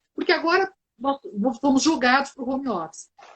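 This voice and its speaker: A woman talks at a moderate pace. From southern Brazil, Porto Alegre. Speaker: team development consultant in public service. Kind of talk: live webinar conversation.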